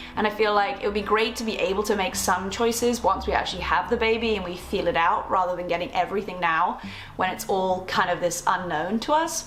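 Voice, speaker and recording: Woman with an English accent at medium pitch, ordinary pitch variation and a fairly quick pace with hardly any pauses, plus noticeable background noise and audible room echo. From England. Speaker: lifestyle vlogger. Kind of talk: casual vlog. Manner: fast.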